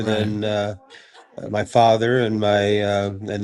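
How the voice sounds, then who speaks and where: A man's fairly low, monotone voice with flat intonation at a very slow pace, with noticeable background noise. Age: 80s+. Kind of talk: interview answer. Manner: lighthearted.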